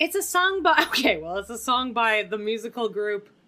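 Over noticeable background noise, a woman with a Canadian accent speaks at a fairly high pitch, her pitch swinging very widely. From Canada. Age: 30s. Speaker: teacher. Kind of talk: casual chat.

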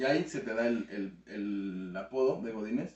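Background noise is clearly audible. Through it, a man talks with lively intonation. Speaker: youtuber. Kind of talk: casual chat.

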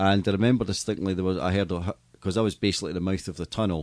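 With a Scottish accent, the speaker talks at a very fast pace with vocal fry and ordinary pitch variation. The background is quiet. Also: man. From Scotland. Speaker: stadium PA announcer and entertainment business owner. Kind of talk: casual interview. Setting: studio.

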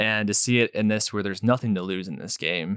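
An ordinary speaking voice at a fairly quick pace, recorded dry and close with no echo, very clean with a silent background. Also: man. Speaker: podcast co-host. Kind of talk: casual sports chat. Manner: laughing, relaxed.

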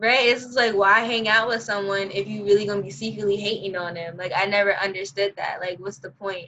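With a strong New York accent, a woman of medium pitch talks at a fairly quick pace with hardly any pauses, fairly even intonation and big swings in loudness. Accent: New York, heavy. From Brooklyn, New York. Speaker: podcast host. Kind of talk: casual chat, podcast interview. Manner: casual, slangy.

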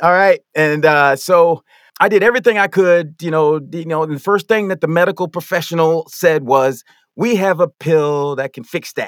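Recorded with a dry, close sound with no echo and a very clean, silent background, a man speaks at a moderate pace with a high pitch and ordinary pitch variation. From grew up moving around as a military child. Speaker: masters athlete. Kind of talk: casual interview.

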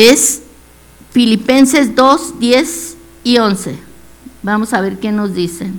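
With lively intonation and a fairly high pitch, a woman speaks at a very slow pace with long, frequent pauses amid audible room echo. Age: 70s. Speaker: lay preacher. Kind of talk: devotional sermon.

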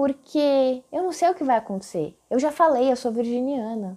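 A woman speaks fairly slowly at a high pitch, her tone dark and mellow, with very wide pitch swings. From Brazil, São Paulo. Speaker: podcast host and digital influencer. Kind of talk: solo podcast monologue.

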